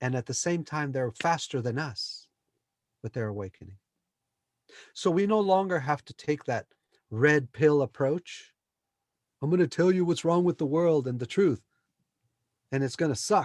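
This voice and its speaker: In a very clean, dry and close recording with no echo and a silent background, a man with a fairly high pitch talks at a moderate pace with lively intonation and long, frequent pauses. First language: Spanish. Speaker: spiritual teacher, former software engineer. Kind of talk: interview about spirituality. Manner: animated.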